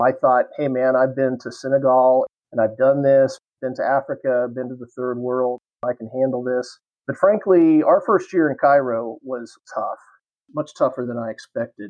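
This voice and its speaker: A man talks at a moderate pace with a medium pitch and fairly even intonation. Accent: American. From Kansas, US. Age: 50s. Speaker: history professor and retired Marine pilot. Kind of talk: casual interview.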